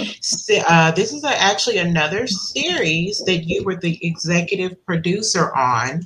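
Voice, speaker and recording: Speaking at a fairly slow pace with hardly any pauses, a woman at a medium pitch uses lively intonation over noticeable background noise. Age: 50s. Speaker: podcast host. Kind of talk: interview.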